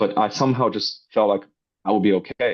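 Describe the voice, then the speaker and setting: Ordinary variation in pitch from a man with a fairly low voice. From northwest China. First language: Chinese. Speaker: robotics startup founder. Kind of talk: interview. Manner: hesitant with fillers.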